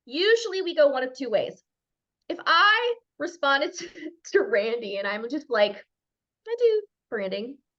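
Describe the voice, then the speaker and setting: In a Minnesotan accent, a woman with a high, bright, sharp voice speaks at a moderate pace, with very wide pitch swings, big swings in loudness, and long, frequent pauses. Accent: Minnesota. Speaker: branding expert. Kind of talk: expert talk on a group call. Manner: animated.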